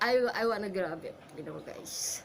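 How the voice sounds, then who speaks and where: A woman speaks with a Filipino accent. Her pace is fairly slow, over noticeable background noise. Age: 50s. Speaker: actor and commercial model. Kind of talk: audition self-introduction. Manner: halting.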